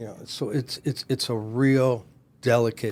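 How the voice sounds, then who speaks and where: On a very clean recording with a silent background, a man speaks with an American accent. His pitch is medium with ordinary variation, at a fairly slow pace. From Michigan, US Midwest. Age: 60s. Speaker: commercial real estate broker. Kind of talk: podcast interview.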